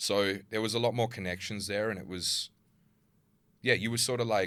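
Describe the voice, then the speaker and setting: Talking with an Australian accent, a man has a fairly low pitch and a bright, sharp tone. His pace is moderate, with fairly even intonation. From Perth, Australia (partly Germany). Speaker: social media creator. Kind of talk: casual chat. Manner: loud.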